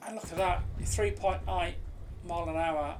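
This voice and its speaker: Over noticeable background noise, a woman with a British accent speaks at a moderate pace. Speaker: game reviewer. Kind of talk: casual gameplay commentary. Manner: hesitant, lots of fillers.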